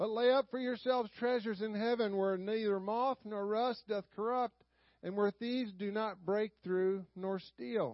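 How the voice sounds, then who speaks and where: In a Southern US accent, a man talks with a high pitch. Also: fairly even intonation. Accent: Southern US drawl. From US South. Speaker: Sunday school teacher. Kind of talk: sermon. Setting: church.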